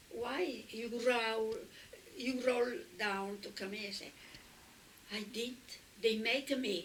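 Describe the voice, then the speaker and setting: A woman's fairly high voice in an Italian accent, at a very slow pace with long, frequent pauses and ordinary pitch variation. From Italy. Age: 80s+. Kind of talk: interview answer.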